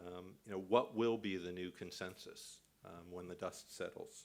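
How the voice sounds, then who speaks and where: A man with a Canadian accent, fairly low in pitch, at a fairly slow pace with fairly even intonation. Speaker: conference speaker on financial regulation. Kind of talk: conference speech. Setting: conference with audience. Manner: halting, many fillers.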